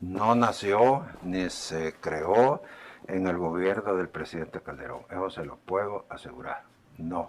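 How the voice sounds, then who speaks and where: A man with a very deep, low pitch speaks at a very slow pace, with ordinary pitch variation and big swings in loudness. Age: 70s. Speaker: former government official. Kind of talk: testimony at a legislative hearing. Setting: legislative committee hearing.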